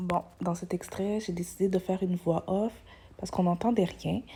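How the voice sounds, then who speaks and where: Soft-spoken and whispering, a woman talks with a Quebec accent. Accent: Québécois French. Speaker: vlogger, mother. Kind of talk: casual vlog. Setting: at home. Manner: soft-spoken, whispering; hesitant, many fillers.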